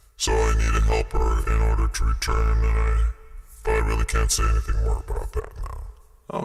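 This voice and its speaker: Over faint music in the background, a man does a put-on character voice with a very deep, low pitch and monotone, flat intonation. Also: moderate pace. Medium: audio drama. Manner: calm, laconic, matter-of-fact.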